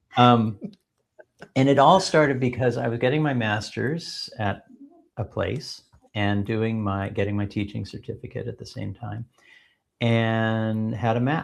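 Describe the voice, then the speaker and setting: This man speaks with an American accent at a fairly slow pace, pausing long and often. His pitch is medium, with ordinary variation. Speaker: edtech company founder. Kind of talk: podcast interview. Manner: hesitant, many fillers.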